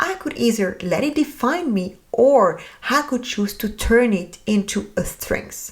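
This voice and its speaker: Her pitch is fairly high and swings very widely. The woman speaks at a fairly slow pace. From France. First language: French. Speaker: podcast host. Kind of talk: podcast monologue.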